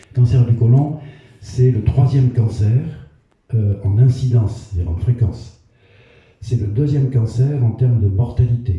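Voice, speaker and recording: In a dark, mellow tone that is somewhat breathy, a man speaks fairly slowly at a medium pitch with ordinary pitch variation and long, frequent pauses, with audible room echo around him. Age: 70s. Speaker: retired cancer doctor giving a public talk. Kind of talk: public health lecture. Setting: community hall with audience. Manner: hesitant with frequent fillers.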